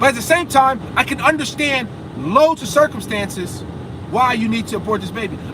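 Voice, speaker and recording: A man talks loudly in an animated tone at an extremely high pitch, with ordinary pitch variation. Noticeable background noise is present. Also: fairly quick pace. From USA. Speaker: vlogger. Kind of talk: casual vlog rant while driving. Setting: in a car.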